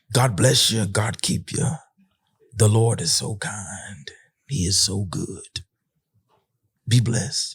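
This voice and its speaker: A man's raspy, put-on character voice at medium pitch, fairly slow in pace, with long, frequent pauses. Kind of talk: sermon-like blessing. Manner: warm pious.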